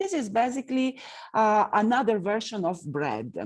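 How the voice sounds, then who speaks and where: A woman speaks in an Italian accent at a fairly high pitch. Her pitch swings very widely, and her pace is fairly slow. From northern Italy. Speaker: tour guide. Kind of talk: lecture. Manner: halting, many fillers.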